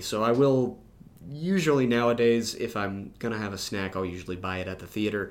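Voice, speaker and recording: A man at a fairly quick pace, ordinary pitch variation and audible room echo. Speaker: podcast co-host. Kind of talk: casual chat. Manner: loud.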